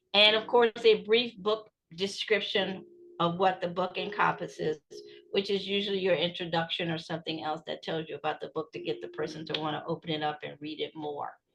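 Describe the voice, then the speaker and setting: A woman at a fairly quick pace, big swings in loudness, music in the background. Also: medium pitch for a woman, ordinary pitch variation. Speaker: writing coach and book consultant. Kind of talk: webinar presentation. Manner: animated.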